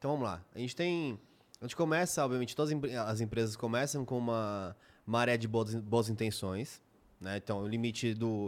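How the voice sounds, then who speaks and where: On a very clean recording with a silent background, a man with a São Paulo accent talks at moderate pace and medium pitch with ordinary pitch variation. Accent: paulistano Brazilian Portuguese. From São Paulo city, Brazil. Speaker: podcast co-host.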